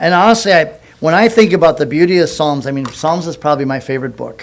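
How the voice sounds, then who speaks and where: Here a man talks at a very fast pace. His pitch shows ordinary variation. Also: fairly high pitch for a man. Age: 60s. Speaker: pastor. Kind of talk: sermon. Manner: halting.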